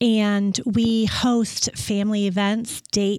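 A woman speaks in an Upper Midwest accent with monotone, flat intonation. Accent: Upper Midwest American. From West Michigan. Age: 40s. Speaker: painting business owner. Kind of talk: interview. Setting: studio.

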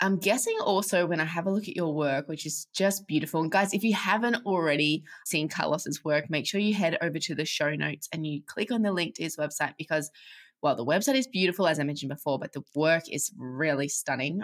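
Using a plain, everyday voice, a woman talks fairly quickly at a fairly low pitch with ordinary pitch variation and hardly any pauses. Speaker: podcast host. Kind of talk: podcast interview.

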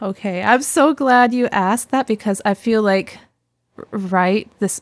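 A woman with a Canadian accent uses a normal speaking voice at a fairly slow pace and ordinary pitch variation, recorded very cleanly against a silent background with a dry, close sound and no echo. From Canada, British Columbia (Sunshine Coast). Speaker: music researcher and fiddle musician. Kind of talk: casual interview.

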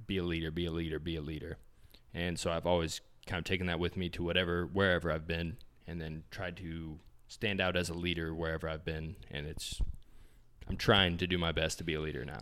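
A man with a very deep, low pitch speaks in an American accent with monotone, flat intonation. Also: fairly quick pace. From small-town Indiana, US Midwest. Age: 20s. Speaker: fitness magazine cofounder, entrepreneur. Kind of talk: casual interview chat. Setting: in-person in an Airbnb.

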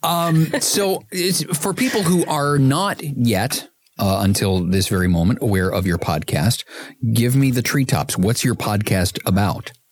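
At a fairly slow pace, a man speaks with a medium pitch and very wide pitch swings. His loudness stays very even. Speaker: podcast host. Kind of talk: casual interview.

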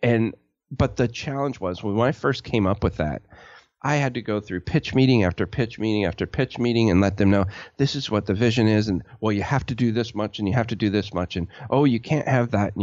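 This is a man with an ordinary speaking voice and a fairly low pitch. He talks at a fairly quick pace with ordinary pitch variation. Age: 40s. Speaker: web design business owner, army veteran. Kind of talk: casual interview.

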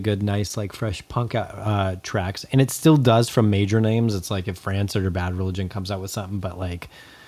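A man's ordinary speaking voice at a fairly quick pace, with ordinary pitch variation. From Southern California, Antelope Valley. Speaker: punk music podcast co-host. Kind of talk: casual chat.

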